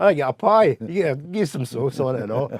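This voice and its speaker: Amid noticeable background noise, a man with a fairly high pitch speaks at a fairly quick pace, his pitch swinging very widely. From Scotland, Glasgow. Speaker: musician. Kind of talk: casual chat.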